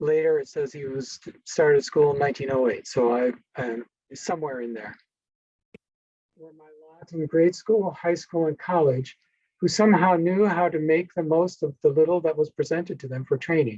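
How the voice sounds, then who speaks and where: A dark, mellow tone with ordinary pitch variation. The pace is moderate, and the loudness swings widely. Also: man, fairly high pitch for a man. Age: 60s. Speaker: historian giving a presentation. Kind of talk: lecture. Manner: halting.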